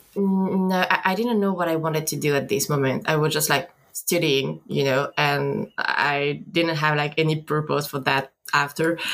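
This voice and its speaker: In a French accent, the speaker talks at a moderate pace with ordinary pitch variation and very even loudness. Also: woman, very deep, low pitch for a woman. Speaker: concept artist. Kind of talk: interview. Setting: video call. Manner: halting.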